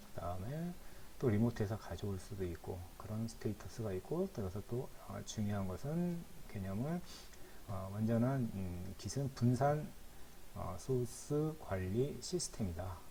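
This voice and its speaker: With noticeable background noise and audible room echo, a man speaks fairly slowly at a fairly low pitch, using lively intonation. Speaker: instructor. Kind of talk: lecture. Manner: halting.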